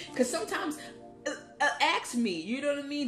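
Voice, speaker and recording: A woman talking at a very fast pace amid noticeable background noise. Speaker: vlogger. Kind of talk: casual monologue.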